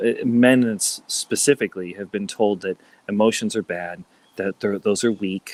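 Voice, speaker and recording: The sound is dry and close, with no echo. A man speaks at a moderate pace in a plain, everyday voice, fairly low in pitch with ordinary pitch variation. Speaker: life coach, former entertainer. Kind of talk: casual interview chat.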